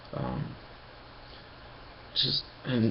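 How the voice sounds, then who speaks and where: A man whispers over noticeable background noise. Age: 20s. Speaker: vlogger. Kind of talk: personal video diary. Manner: whispering; halting.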